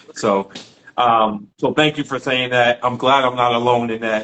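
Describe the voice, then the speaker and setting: This man talks at a moderate pace in a medium pitch. His intonation is flat and monotone. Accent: New York. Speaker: podcast host. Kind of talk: casual interview chat.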